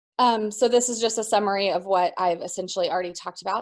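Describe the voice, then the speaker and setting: At a fairly quick pace, a woman speaks with medium pitch and ordinary pitch variation. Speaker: school psychologist. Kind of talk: webinar presentation. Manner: fast; frequent filler ums.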